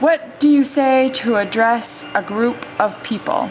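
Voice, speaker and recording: A woman talks in a high voice as music plays in the background. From Maine. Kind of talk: casual talk to camera.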